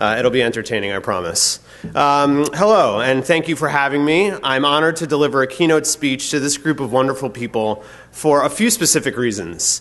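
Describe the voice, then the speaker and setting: Fairly high-pitched and quick, a man talks with lively intonation. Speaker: conference keynote speaker. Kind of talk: conference keynote talk, partly read from script. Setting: stage with audience. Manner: loud.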